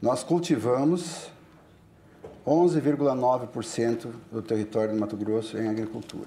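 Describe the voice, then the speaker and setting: A man speaks at a medium pitch with a dark, mellow tone. His pace is moderate, and his pitch varies in an ordinary way. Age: 60s. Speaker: politician and farmer. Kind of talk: panel discussion. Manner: halting.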